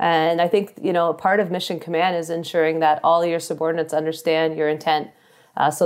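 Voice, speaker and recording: A woman with a Canadian accent speaks very fast in a fairly low, monotone, flat voice. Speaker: army officer. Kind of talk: interview. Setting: remote call from deployment.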